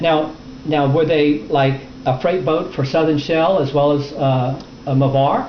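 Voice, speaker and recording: Against noticeable background noise, a man at a fairly high pitch speaks at a fairly slow pace with fairly even intonation and very even loudness. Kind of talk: interviewer questions.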